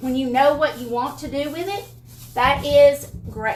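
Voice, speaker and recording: A woman speaks with a strong Southern US accent at a fairly slow pace. Her pitch is high. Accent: thick Southern US. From Alabama. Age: 50s. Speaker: furniture painting YouTuber. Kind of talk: tutorial. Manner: casual, chatty.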